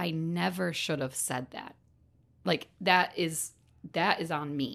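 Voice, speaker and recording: With vocal fry and ordinary pitch variation, a woman speaks at a very deep, low pitch in a very clean recording with a silent background. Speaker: podcast host and manager. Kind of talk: interview.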